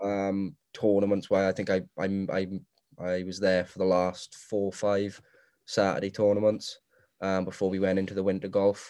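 In a South Wales accent, a man talks at a moderate pace in a fairly low, dark and mellow voice with monotone, flat intonation over a quiet background. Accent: South Wales (Swansea). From Wales, Morriston, Swansea. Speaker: assistant golf professional. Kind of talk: casual chat.

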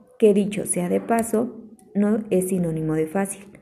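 The pitch varies in an ordinary way. Noticeable background noise sits behind the voice. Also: woman. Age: 20s. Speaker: environmental engineer and chemistry tutor. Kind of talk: scripted presentation. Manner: formal.

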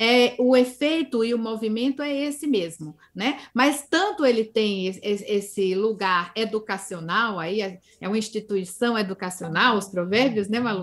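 In a plain, everyday voice, the words come at a fairly slow pace with ordinary pitch variation and hardly any pauses. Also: woman, fairly high pitch for a woman. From Northeast Brazil, Campina Grande, Paraíba. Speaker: linguistics professor. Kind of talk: interview.

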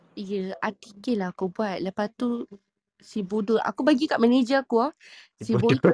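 Somewhat breathy and fairly high-pitched, a woman speaks at a moderate pace with lively intonation, the sound dry and close with no echo. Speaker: podcast participant. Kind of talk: casual chat.

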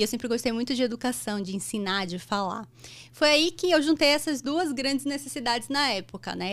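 Speaking at a fairly quick pace, a woman uses lively intonation at a high pitch. The recording is very clean with a silent background. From Brazil, Bahia (Salvador). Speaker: anesthesiologist and medical educator. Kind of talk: interview conversation. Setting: studio.

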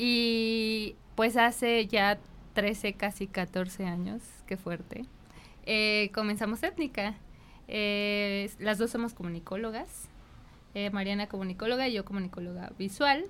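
Her intonation fairly even, a woman speaks at a very slow pace. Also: medium pitch for a woman. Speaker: designer and entrepreneur. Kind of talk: casual interview.

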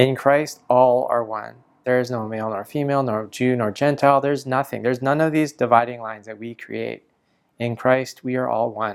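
Using a plain, everyday voice, a man speaks at a fairly quick pace with fairly even intonation and big swings in loudness. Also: medium pitch for a man, very clean recording, silent background. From Canada. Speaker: pastor. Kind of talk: sermon.

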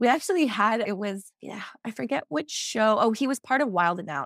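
A woman with an American accent and a normal speaking voice talks at a fairly quick pace with lively intonation, in a very clean recording with a silent background and a dry, close sound with no echo. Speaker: placenta encapsulation specialist. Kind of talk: casual interview.

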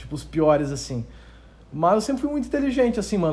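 A man talks very fast, his pitch swinging very widely. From southern Brazil, Rio Grande do Sul (Novo Hamburgo). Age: 20s. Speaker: YouTube affiliate marketing entrepreneur. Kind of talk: casual interview chat.

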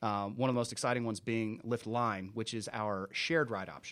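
Ordinary pitch variation marks a man talking in a normal speaking voice. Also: very clean recording, silent background. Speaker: business manager. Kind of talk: interview. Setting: studio.

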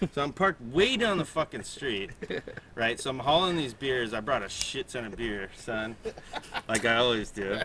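A man with a medium pitch and lively intonation talks at a moderate pace while noticeable background noise plays behind him. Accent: American. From San Diego, California. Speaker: podcast producer and co-host. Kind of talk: casual chat.

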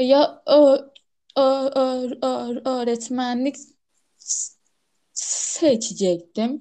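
A woman's high-pitched, dark, mellow voice, fairly even in intonation, very slow in pace, with long, frequent pauses. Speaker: podcast co-host who stutters. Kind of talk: casual chat. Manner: frequent sound repetitions.

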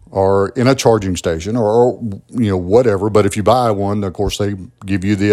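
A man with a Southern US accent, fairly low pitch, a dark, mellow tone, fairly even intonation and a fairly quick pace. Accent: Southern US (Georgia). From US South, southwest Georgia (Albany). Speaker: podcast host. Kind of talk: solo political commentary monologue. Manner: conversational, with frequent fillers and repetitions.

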